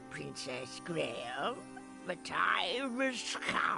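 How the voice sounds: A cartoonish character voice drawls at a very slow pace over clear music in the background.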